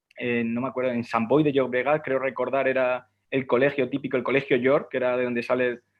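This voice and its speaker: This man's intonation is monotone and flat. He talks fairly quickly at a medium pitch. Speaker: sports analyst. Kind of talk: panel discussion. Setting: online live stream.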